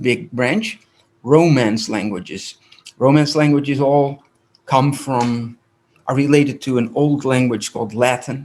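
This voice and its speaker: With a Dutch accent, a man talks at a fairly slow pace. His pitch is fairly high, with ordinary pitch variation. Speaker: rabbi and language teacher. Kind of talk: lecture.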